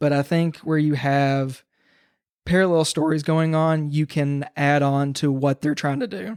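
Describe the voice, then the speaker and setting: Someone with a Kentucky accent speaks at a fairly slow pace on a very clean recording with a silent background. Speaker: podcast guest, horror TikToker. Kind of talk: casual chat.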